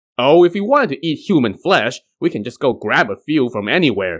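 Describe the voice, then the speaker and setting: Putting on a character voice, a man speaks at a medium pitch and a fairly quick pace. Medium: read story. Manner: brash, impatient.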